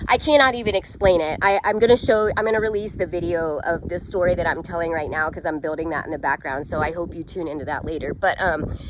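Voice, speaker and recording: A woman's fairly low voice at a very fast clip, hardly any pauses, ordinary pitch variation, and noticeable background noise. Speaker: business coach and vlogger. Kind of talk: casual storytelling vlog. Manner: animated.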